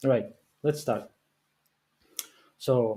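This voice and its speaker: A man's dark, mellow voice at medium pitch, with a non-native accent, a very slow pace and ordinary pitch variation. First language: not English. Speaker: game developer. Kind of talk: live stream. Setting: live stream. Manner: halting, many fillers.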